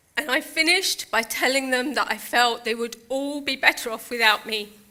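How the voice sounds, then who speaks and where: With a British accent, a woman talks in a high pitch at a moderate pace. Her pitch variation is ordinary. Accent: UK. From Britain. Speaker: motivational speaker. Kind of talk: keynote speech. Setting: stage with audience.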